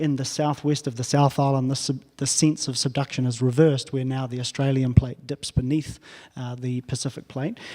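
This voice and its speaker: Speaking fairly quickly in a New Zealand accent, a man keeps a dark, mellow tone with monotone, flat intonation. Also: medium pitch for a man. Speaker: professor. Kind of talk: lecture.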